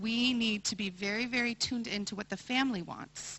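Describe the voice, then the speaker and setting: A woman with an American accent speaks in a plain, everyday voice, using ordinary pitch variation at a moderate pace. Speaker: occupational therapy professor. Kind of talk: conference presentation.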